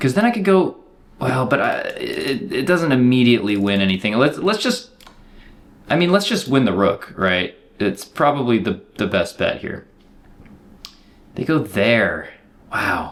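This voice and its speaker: With vocal fry and very wide pitch swings, a man speaks at a fairly high pitch and a fairly slow pace, leaving long, frequent pauses. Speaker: chess streamer. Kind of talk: live game commentary. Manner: casual, filler-heavy.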